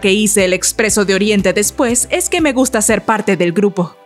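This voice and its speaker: A woman speaks at a moderate pace in a fairly high voice, with music playing in the background. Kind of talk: celebrity biography narration.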